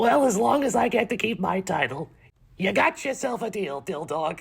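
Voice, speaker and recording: Putting on a character voice, a man sounds raspy at a high pitch, with very wide pitch swings and a moderate pace. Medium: read story. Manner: blustering.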